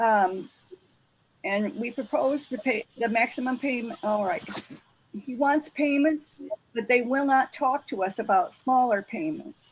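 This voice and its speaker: A woman with a high voice speaks fairly slowly with ordinary pitch variation, leaving long, frequent pauses. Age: 70s. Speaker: defendant. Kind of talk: court hearing.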